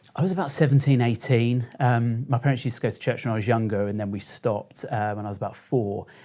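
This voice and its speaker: A man with a dark, mellow tone and a southern English accent, talking at a very fast pace with hardly any pauses and ordinary pitch variation, on a very clean recording with a silent background. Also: medium pitch for a man. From Kent, England. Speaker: social media storyteller. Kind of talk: interview.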